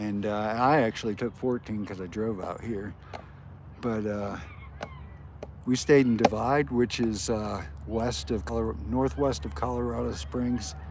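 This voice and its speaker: A man in an American accent talks at a fairly slow pace and fairly low pitch, relaxed in tone, with very wide pitch swings and long, frequent pauses. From upstate New York (Auburn, near Syracuse), later Florida. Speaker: skateboarding livestreamer. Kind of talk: casual livestream chat. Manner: relaxed, many fillers.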